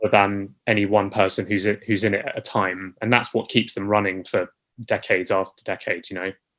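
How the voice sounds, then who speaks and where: A man with a British accent, fairly low-pitched and monotone with flat intonation, at a fairly quick pace, in a very clean recording with a silent background. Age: 30s. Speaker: musical theatre actor. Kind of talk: interview.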